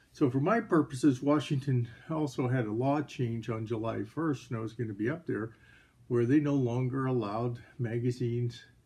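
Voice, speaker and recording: A man with a medium pitch and a dark, mellow, somewhat breathy tone talks at a moderate pace with fairly even intonation. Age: 60s. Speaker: firearms hobbyist YouTuber. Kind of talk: casual vlog monologue.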